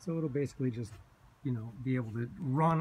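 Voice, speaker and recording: Over light background noise, a man speaks at a moderate pace in a somewhat breathy voice. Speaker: vlogger living in a converted bus; bus conversion vlogger. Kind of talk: casual video walkthrough. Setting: inside a bus. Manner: casual, hesitant with fillers. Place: bus. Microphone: phone near.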